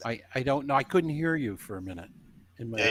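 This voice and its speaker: A man with a Midwestern American accent at a very fast pace, medium in pitch with lively intonation. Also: big swings in loudness. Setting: online call, headset.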